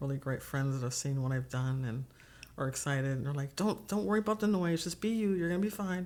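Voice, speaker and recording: Soft-spoken and very deep in pitch, a woman talks at a very fast pace with very wide pitch swings. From Texas. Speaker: political candidate. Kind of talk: interview conversation. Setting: studio. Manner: soft-spoken, quiet.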